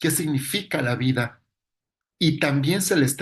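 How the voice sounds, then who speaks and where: A man speaks in a somewhat breathy voice. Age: 40s. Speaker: psychologist lecturer. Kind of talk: lecture.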